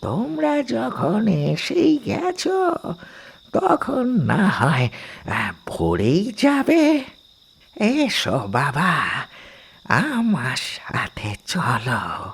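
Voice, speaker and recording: A man does a cartoonish character voice, pitched high. He speaks at a very slow pace. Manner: slow, hesitant, rambling.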